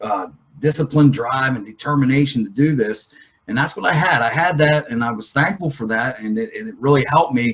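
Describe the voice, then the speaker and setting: Intonation moves in a lively way. The speaker keeps a fairly quick pace. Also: man, fairly high pitch for a man. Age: 40s. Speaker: motocross coach. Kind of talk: live webinar Q&A. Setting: live webinar. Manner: fast; animated.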